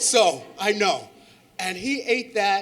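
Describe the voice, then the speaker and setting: A man with a high voice and lively intonation is heard with audible room echo and noticeable background noise. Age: 60s. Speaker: audience member, charter school board member. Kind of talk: audience question at conference.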